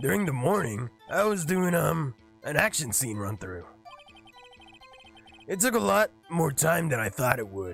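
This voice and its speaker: Over faint background music, a man does a raspy, put-on character voice at a fairly high pitch, moving at a moderate pace with very wide pitch swings and long, frequent pauses. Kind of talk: comic overacting. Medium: virtual streamer. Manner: gruff, blustering.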